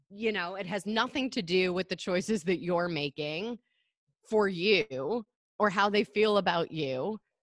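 A woman with an American accent speaks fairly slowly at a medium pitch with ordinary pitch variation, in an unremarkable speaking voice. The sound is dry and close with no echo, and the recording is very clean with a silent background. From Michigan. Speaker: wellness coach, podcast host. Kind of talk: casual interview chat.

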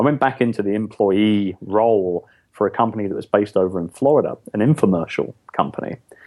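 A man speaks very fast with fairly low pitch. His pitch varies in an ordinary way. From London, England. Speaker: entrepreneur and author. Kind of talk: interview, casual conversation.

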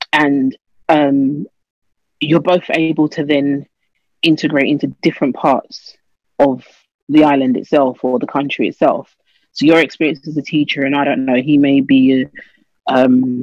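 In a dry, close recording with no echo, a woman speaks at a moderate pace in a very deep, low pitch, with monotone, flat intonation and long, frequent pauses. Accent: London. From London, England. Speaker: teacher. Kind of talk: interview.

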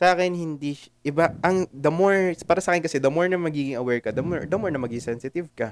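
A man's fairly high voice, very fast, with hardly any pauses and ordinary pitch variation. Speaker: podcast co-host. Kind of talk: casual chat.

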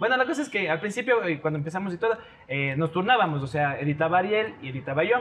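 A high-pitched man at a very fast pace, with very wide pitch swings and noticeable background noise. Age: 20s. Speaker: video content creator. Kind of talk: casual chat.

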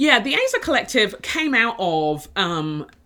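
Here a woman speaks at a medium pitch. Her tone is bright and sharp. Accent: English. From inner city London, England. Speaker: author and leadership coach. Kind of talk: casual interview chat. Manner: halting, with frequent restarts.

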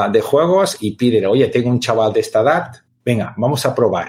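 Somewhat breathy, a man speaks at medium pitch. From Catalonia. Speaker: teacher and gamification expert. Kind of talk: interview.

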